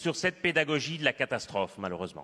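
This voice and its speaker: Fairly quick speech from a man with a Belgian accent, his fairly high voice bright and sharp in tone. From Belgium. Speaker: climate researcher, panelist. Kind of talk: panel discussion.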